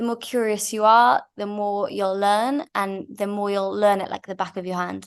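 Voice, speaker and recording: A woman with a Manchester accent speaks at a moderate pace with hardly any pauses, her medium pitch showing ordinary variation. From Manchester, England. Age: 20s. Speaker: winery co-owner and nurse. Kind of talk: interview answers.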